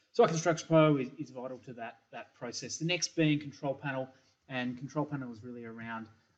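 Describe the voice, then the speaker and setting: Here a man speaks with an Australian accent. His pitch is medium, his pace moderate, and his pitch varies in an ordinary way. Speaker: software company engineering principal. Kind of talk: recorded product presentation. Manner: hesitant, many fillers and repeats.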